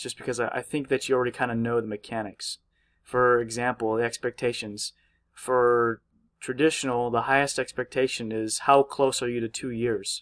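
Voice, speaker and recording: Over a quiet background, a man talks at a medium pitch and a moderate pace in a monotone, flat intonation. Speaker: university student making tutorial videos; student tutorial maker. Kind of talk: tutorial. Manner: hesitant, many fillers. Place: home room.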